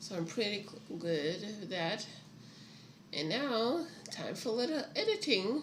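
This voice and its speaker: With audible room echo and noticeable background noise, a woman with a fairly high pitch speaks at a fairly slow pace, her pitch swinging very widely between long, frequent pauses. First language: not English. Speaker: writer streaming her writing. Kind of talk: casual livestream chat. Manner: halting.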